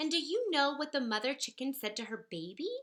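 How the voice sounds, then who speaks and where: A put-on character voice, female-sounding and high-pitched, at a fairly quick pace. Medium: read story. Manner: excited.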